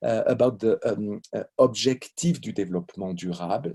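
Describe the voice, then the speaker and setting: In a French accent, a man with a dark, mellow tone talks at a moderate pace, the sound dry and close with no echo on a very clean recording against a silent background. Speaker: law professor. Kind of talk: lecture. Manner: halting.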